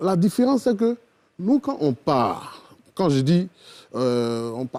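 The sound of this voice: The tone is dark and mellow, and the pace is slow with big pitch swings. The sound is dry and close, with no echo.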